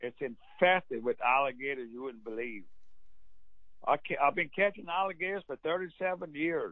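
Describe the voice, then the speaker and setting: Lively intonation and big swings in loudness mark this Cajun accent. The pace is moderate. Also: man, fairly high pitch for a man. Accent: Cajun Louisiana English. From Central Louisiana. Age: old. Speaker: duck call maker. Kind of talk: casual chat.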